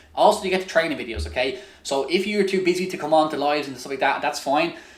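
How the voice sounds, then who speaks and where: A man with an Irish accent talks at a very fast pace in an energetic tone, his fairly high pitch showing ordinary variation and his loudness swinging widely. Noticeable background noise and audible room echo fill the recording. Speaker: online business coach. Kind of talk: webinar sales pitch. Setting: live webinar.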